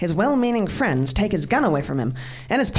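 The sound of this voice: This is an unforced reading voice. It reads the text out.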